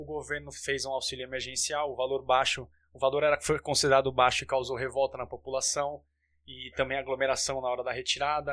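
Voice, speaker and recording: A man's medium-pitched, monotone, flat delivery at a fairly quick pace. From Santos, São Paulo state, Brazil. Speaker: sports podcast host. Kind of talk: casual chat. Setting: recording from home.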